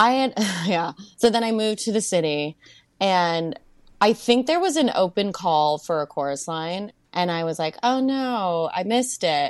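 In an American accent, a woman with a normal speaking voice and medium pitch talks at a moderate pace with lively intonation over a quiet background. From US South, Melbourne, Florida. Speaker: Broadway performer. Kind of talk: casual chat.

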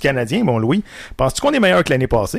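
A man speaks with a Quebec accent. His pitch swings very widely. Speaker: sports podcast host. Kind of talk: casual sports debate.

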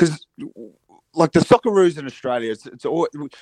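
At a moderate pace, a man talks with lively intonation, fairly high pitch and a slightly mellow tone, in a dry, close sound with no echo.

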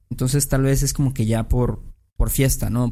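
This voice has a Mexican accent and a dark, mellow tone. Pitch varies in an ordinary way at a moderate pace. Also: man. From Mexico. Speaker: podcast host. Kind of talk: casual chat.

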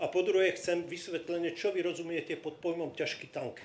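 Speaking at a fairly quick pace, a man with a high pitch comes through noticeable background noise and audible room echo. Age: 60s. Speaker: audience member, former conscript. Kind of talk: audience question. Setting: stage with live audience.

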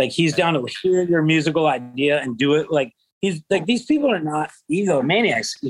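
A man's unremarkable speaking voice with an American accent, ordinary pitch variation and a moderate pace. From California. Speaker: funk bassist. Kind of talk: casual chat. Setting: video call.

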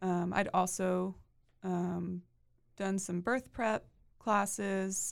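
This woman speaks with a Texan accent at a medium pitch. The recording is very clean, with a silent background. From Texas, Waco area. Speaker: attorney and new mother. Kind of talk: interview. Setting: studio.

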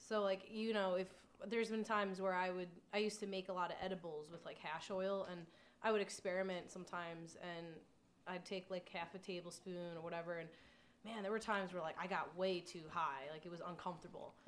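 A woman with an unremarkable speaking voice and an American accent, medium in pitch, fairly quick, with fairly even intonation. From New York area (Long Island). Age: 20s. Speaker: adult film performer and nutrition contractor. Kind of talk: casual chat.

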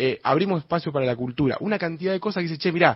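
Fairly high pitch for a man, with pitch that varies in an ordinary way. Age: 30s. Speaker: mayoral candidate, politician. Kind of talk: radio interview. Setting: studio.

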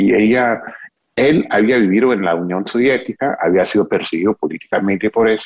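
Speaking with an English accent, the voice carries lively intonation at a moderate pace. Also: man. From US, Texas (Houston). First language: English (speaking Spanish). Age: 40s. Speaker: author and biographer. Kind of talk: interview. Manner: halting.

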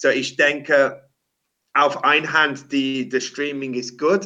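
With an English accent, a man talks at a very slow pace in a fairly high-pitched, bright, sharp tone. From England. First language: English (speaking German). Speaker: rock singer. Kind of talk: casual interview. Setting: remote call at his workplace. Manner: halting.

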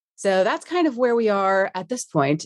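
In a Texan accent, a woman at medium pitch speaks with lively intonation and a moderate pace against a quiet background. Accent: Texan American. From Texas, Dallas-Fort Worth area. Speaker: managing director of a product management community. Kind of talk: interview.

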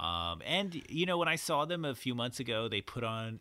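The man's speech moves along at a fairly quick pace. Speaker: podcast host. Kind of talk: casual chat. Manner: put-on radio announcer style in the intro.

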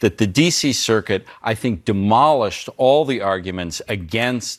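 Using a normal speaking voice, a man keeps a moderate speed while his intonation rises and falls lively. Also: very clean recording, silent background. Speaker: legal analyst. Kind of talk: news panel discussion.

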